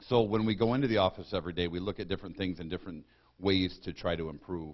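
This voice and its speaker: Fairly even intonation carries a very fast delivery in an Upper Midwest accent. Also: man. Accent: Upper Midwest American. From Michigan, Lapeer County. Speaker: county sheriff. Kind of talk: public talk. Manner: loud; blunt.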